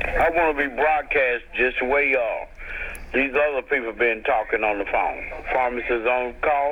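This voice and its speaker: A man with a fairly high pitch, moderate pace, very even loudness and fairly even intonation, over noticeable background noise. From US South. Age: 60s. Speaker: caller. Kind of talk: phone-in question. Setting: phone call.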